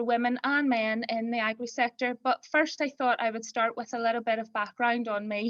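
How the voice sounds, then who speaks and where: A woman's fairly high voice in a Belfast accent, flat and monotone. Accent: Belfast brogue. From Northern Ireland, north Belfast. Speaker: farm accountant. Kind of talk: webinar talk. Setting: online webinar.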